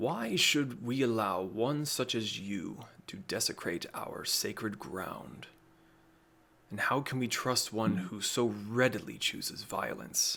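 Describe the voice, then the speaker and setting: A man's put-on character voice, rumbling, at a medium pitch and a fairly slow pace. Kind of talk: formal, accusatory.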